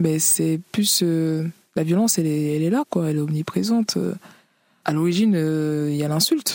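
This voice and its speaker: A woman's fairly low voice with ordinary pitch variation, a moderate pace, and a dry, close sound with no echo. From Cameroon, then Paris region (93). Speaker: author, rapper and DJ. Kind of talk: interview. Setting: remote duplex link. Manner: halting, frequent repetitions.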